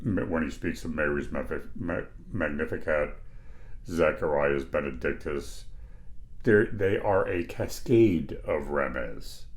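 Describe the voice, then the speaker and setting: The room adds audible echo to this recording. A man delivers his words at a fairly slow speed. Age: 60s. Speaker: Bible teacher. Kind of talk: lecture. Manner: casual, conversational.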